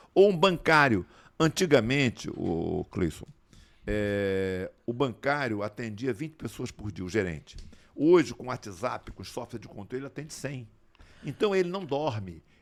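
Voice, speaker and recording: This very clean recording has a silent background, and a man with a medium pitch speaks at a fairly slow pace. His pitch swings very widely and his loudness rises and falls sharply. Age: 70s. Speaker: physician and former politician. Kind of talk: interview conversation. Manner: animated.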